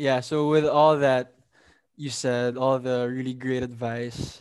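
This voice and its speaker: Against a silent background in a very clean recording, a man speaks very slowly in a monotone, flat delivery. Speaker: podcast co-host. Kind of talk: casual interview.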